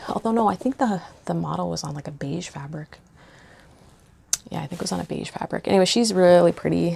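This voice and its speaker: A woman's voice over noticeable background noise. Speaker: cross-stitch vlogger. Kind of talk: casual show-and-tell vlog. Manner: hesitant, many fillers.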